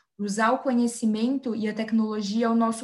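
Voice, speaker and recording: Her voice is fairly high and somewhat breathy, belonging to a woman. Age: 20s. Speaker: environmental engineer. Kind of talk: interview.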